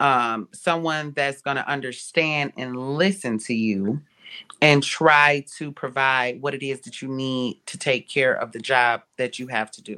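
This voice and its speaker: With an American accent, a woman speaks in a very deep, low pitch, her tone bright and sharp and her loudness swinging widely. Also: ordinary pitch variation, fairly slow pace. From Ohio. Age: 30s. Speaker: nurse. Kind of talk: testimony.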